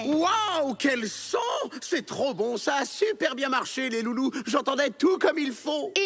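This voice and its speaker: Over noticeable background noise, a man talks at a very slow pace with an extremely high pitch and lively intonation. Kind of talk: playful, talking to kids.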